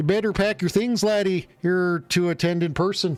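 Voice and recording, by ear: A man's put-on character voice, high in pitch, at a moderate pace with very even loudness and faint music in the background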